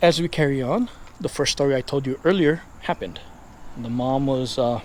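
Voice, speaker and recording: The speaker has a Hawaiian accent, ordinary pitch variation and a moderate pace. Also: man, fairly high pitch for a man. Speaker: paranormal YouTuber. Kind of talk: casual storytelling while walking. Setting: outdoors, neighborhood street at night. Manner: hushed, quiet.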